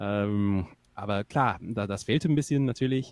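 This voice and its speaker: A man with a fairly low voice speaks on a very clean recording, the sound dry and close with no echo and the background silent. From northern England. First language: English (speaking German). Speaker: singer-songwriter. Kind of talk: casual chat.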